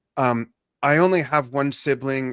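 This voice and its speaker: This man has a plain, everyday voice at medium pitch, talking at a fairly slow pace. The sound is dry and close with no echo, on a very clean recording with a silent background. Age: 60s. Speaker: drummer and business mentor. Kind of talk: interview.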